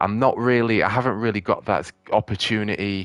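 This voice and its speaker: A man speaks with a British accent. His pitch sits in the medium range. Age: 30s. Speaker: gaming streamer. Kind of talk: casual chat. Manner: halting.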